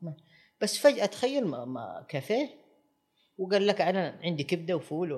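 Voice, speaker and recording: In a very clean recording with a silent background, a man with a high voice speaks at a moderate pace, his pitch swinging very widely between long, frequent pauses. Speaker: restaurant critic. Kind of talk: interview. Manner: halting.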